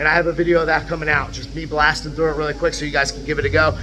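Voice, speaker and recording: A man's voice over noticeable background noise. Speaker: fitness coach. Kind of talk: tutorial. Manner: fast; animated. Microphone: far from camera, no mic yet.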